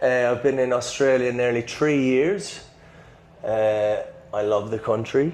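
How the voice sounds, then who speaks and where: A man with an Irish accent speaks at a very slow pace and medium pitch, with audible room echo and noticeable background noise. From Ireland. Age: 20s. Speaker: personal trainer. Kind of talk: casual chat.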